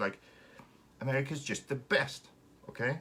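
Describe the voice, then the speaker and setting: The speaker is a man. His voice has vocal fry. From Finland. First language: Finnish. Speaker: RC car hobby livestreamer. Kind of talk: casual live stream chat. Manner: animated.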